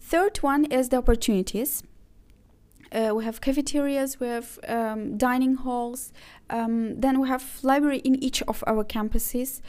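The recording is very clean, with a silent background. A woman speaks at a high pitch and a moderate pace with ordinary pitch variation. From Azerbaijan. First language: Azerbaijani. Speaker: university international office manager. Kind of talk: interview. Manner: hesitant, many fillers.

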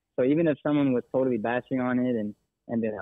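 A man's medium-pitched voice in an American accent, very fast in pace, with fairly even intonation. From Texas. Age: 20s. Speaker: army veteran turned real estate agent. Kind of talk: casual interview. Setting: phone call.

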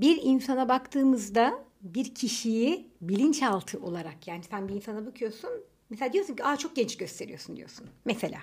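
A woman with an unremarkable speaking voice talks at a moderate pace in a fairly high pitch, with lively intonation and big swings in loudness. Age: 30s. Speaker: podcast co-host. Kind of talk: casual chat. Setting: home recording.

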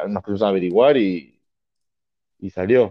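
Pitched fairly low, a man speaks with ordinary pitch variation. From Argentina. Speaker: American football referee and coach. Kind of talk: casual interview.

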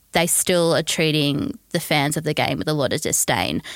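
A woman with an Australian accent, dry and close with no echo, on a very clean recording with a silent background. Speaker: football writer and fan. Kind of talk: casual chat. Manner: soft-spoken when angry.

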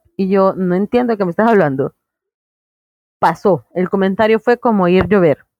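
Through a dry, close sound with no echo, a woman speaks at a medium pitch and a moderate pace with very even loudness and long, frequent pauses. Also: ordinary pitch variation. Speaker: stand-up comedian. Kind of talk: interview. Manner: animated.

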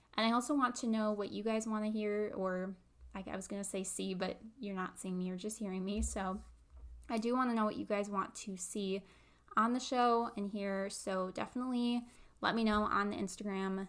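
A woman with an American accent, medium pitch and fairly even intonation at a moderate pace, on a very clean recording with a silent background. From US Midwest. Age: 20s. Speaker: podcast host and content creator. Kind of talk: solo podcast intro monologue.

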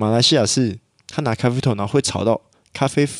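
A man's fairly quick delivery, in an ordinary speaking voice, carries ordinary pitch variation. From Malaysia. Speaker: podcast co-host. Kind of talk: casual chat.

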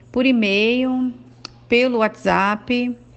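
A woman is speaking. Her pace is very slow. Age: 40s. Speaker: schoolteacher. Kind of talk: testimony. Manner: hesitant, with filler sounds.

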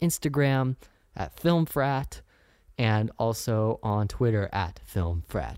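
A man with a Californian accent at a fairly slow pace, on a very clean recording with a silent background. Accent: Californian American. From Northern California, Sacramento. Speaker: podcast host, student filmmaker. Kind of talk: solo podcast monologue.

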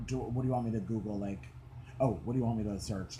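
Somewhat breathy, the man's voice has a fairly low pitch and a dark, mellow tone. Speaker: podcast host. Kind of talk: casual chat. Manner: animated.

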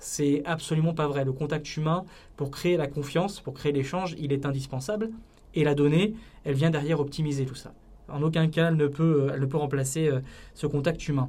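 A man's somewhat breathy, fairly high-pitched voice with fairly even intonation and audible room echo. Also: moderate pace. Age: 30s. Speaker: political communication entrepreneur. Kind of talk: podcast interview. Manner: hesitant, with frequent fillers and repetitions.

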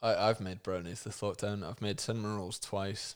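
In an ordinary speaking voice, a man talks at a moderate pace and fairly low pitch on a very clean recording with a silent background. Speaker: podcast host. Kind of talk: casual comedic chat. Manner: joking, irreverent.

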